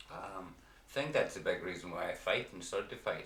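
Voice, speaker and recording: A man speaks with a Derry accent over noticeable background noise, with audible echo from the room. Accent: Northern Irish (Derry). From Northern Ireland, County Derry. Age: 30s. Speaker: person in addiction recovery, amateur fighter. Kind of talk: interview testimony. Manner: blunt; halting.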